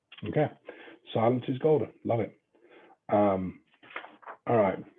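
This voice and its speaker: A man speaks with an English accent at a fairly slow pace. His pitch variation is ordinary. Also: medium pitch for a man. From England. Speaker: real estate trainer. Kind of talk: training lecture. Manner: casual, joking.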